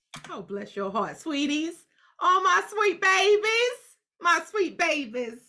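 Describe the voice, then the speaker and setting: A woman with an extremely high pitch and a bright, sharp tone uses a raised, projected voice with very wide pitch swings. She talks at a very slow pace with big swings in loudness. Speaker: podcast host. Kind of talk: casual chat.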